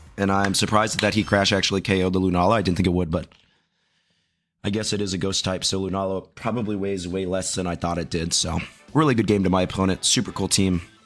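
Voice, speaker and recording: Over music in the background, a man with a very deep, low voice talks at a very fast pace. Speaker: Pokemon VGC YouTuber. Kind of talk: gameplay commentary. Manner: quiet.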